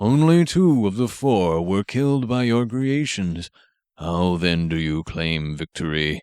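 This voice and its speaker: Using a put-on character voice, a man speaks fairly low and fairly slowly with very wide pitch swings, on a very clean recording with a silent background. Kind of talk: ceremonial courtroom speech. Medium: read story. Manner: formal, measured, addresses by full title.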